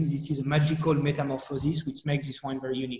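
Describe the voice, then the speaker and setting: At a very fast pace, a man with a French accent speaks in a fairly high, somewhat breathy voice with a dark, mellow tone and monotone, flat intonation. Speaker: wine company director. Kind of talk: expert explanation in live chat. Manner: halting, many repetitions.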